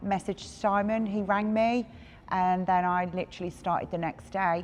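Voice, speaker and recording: A woman talks at a moderate pace with a medium pitch and fairly even intonation. It is an ordinary speaking voice. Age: 40s. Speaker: gym member. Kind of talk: interview testimony.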